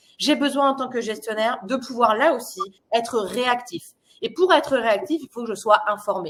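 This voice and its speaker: A woman speaks at a moderate pace with lively intonation. Her pitch is high. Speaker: product presenter. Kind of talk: webinar presentation. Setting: online webinar.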